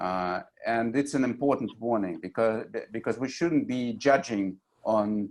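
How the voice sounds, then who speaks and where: Speaking fairly slowly, a man with a Russian accent uses a medium-pitched voice with ordinary pitch variation. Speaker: journalist and TV anchor. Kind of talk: panel discussion. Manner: halting, many fillers.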